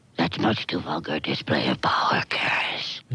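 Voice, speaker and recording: A man's raspy, put-on character voice, very deep and low in pitch, at a moderate pace. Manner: smooth, sinister, condescending.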